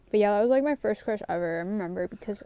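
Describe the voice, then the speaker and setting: This woman's voice has a dark, mellow tone. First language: not English. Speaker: vlogger. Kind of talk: casual chat. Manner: rambling, many fillers.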